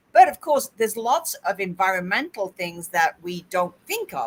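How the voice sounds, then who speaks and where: A plain, everyday voice talks at a moderate pace with ordinary pitch variation. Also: woman. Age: 50s. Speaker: podcast host and interviewer. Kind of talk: casual chat.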